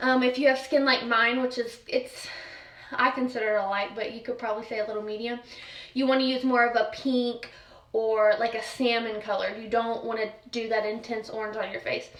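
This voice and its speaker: Fairly quick and in a monotone, flat intonation, a woman with a fairly high pitch is heard through audible room echo and noticeable background noise. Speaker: makeup vlogger. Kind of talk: tutorial. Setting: at home. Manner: fast.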